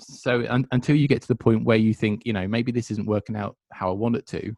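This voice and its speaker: A man with a Suffolk accent talks at a fairly quick pace with fairly even intonation, in a dry, close sound with no echo. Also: medium pitch for a man. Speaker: podcast host. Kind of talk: podcast interview.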